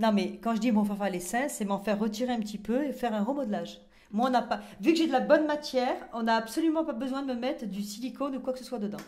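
At a very fast pace, a woman speaks with a fairly high pitch and ordinary pitch variation. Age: 40s. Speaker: reality TV contestant; interview guest. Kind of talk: casual chat. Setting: in a bathtub. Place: bathroom. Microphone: handheld.

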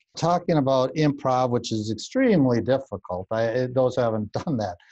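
Over a quiet background, a man with a dark, mellow tone talks at a moderate pace with ordinary pitch variation. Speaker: interview show host; interviewer. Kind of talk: interview. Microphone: video call.

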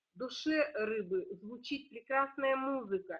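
A woman at a very slow pace with lively intonation. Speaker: astrologer and teacher. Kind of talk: partly reading prepared text. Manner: loud. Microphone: too quiet.

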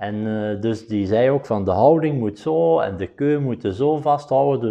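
A man speaks at a fairly slow pace in a fairly low pitch, with lively intonation and a Belgian Limburg accent. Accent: Flemish (Limburg) Dutch. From Belgium, Flanders (Limburg). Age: 50s. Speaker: professional billiards player. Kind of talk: interview monologue. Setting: studio. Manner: halting, many filler sounds.

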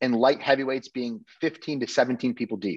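Over a quiet background, a man speaks in an American accent at a fairly slow pace. His pitch is medium, with ordinary variation. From Connecticut. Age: 30s. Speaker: bodybuilder and dietitian coach; dietitian coach. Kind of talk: casual interview chat. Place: kitchen. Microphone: video call.

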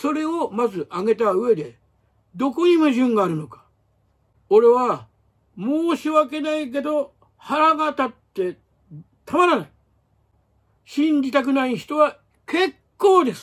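A man's extremely high voice at a fairly slow pace, with lively intonation, big swings in loudness and long, frequent pauses. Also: quiet background. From Japan. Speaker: martial arts writer and former magazine editor; martial arts commentator. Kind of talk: solo commentary monologue; commentary monologue. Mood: indignant in places. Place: home room. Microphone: phone near.

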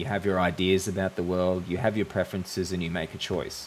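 Light background noise sits under a man speaking at a moderate pace in a very deep, low voice with fairly even intonation. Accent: Australian. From Australia. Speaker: YouTuber. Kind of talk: monologue to camera. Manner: hesitant, with fillers. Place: home room. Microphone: studio mic.

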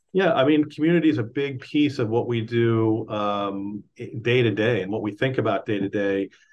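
Speaking with an American accent at a moderate pace, a man with a medium pitch and ordinary pitch variation leaves hardly any pauses. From Texas (Dallas); Texas. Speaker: former pro soccer player and league executive. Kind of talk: interview; interview answer. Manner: halting, with repeated words. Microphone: video call.

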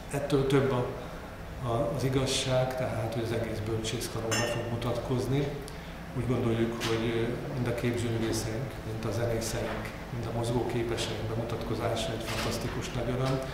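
Amid loud background noise and audible room echo, a man speaks at a moderate pace. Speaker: university rector. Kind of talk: press conference address. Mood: pleased, congratulatory. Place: meeting room. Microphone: podium.

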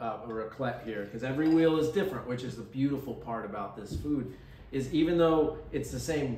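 A man talks at a fairly quick pace with ordinary pitch variation. Light background noise and audible room echo come through. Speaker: cheese shop host. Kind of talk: tutorial. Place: shop.

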